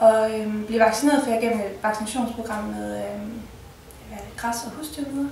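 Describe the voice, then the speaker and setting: A woman speaks at a fairly high pitch and a moderate pace, with fairly even intonation. Room echo is audible, and background noise is noticeable. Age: 20s. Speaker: patient telling her story. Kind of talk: personal testimony interview. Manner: halting, many filler sounds.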